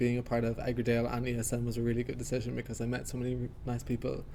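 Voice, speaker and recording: A man speaks in an Irish accent. His pace is very fast and his pitch is medium. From Ireland. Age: 20s. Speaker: university student. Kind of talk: casual interview. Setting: studio.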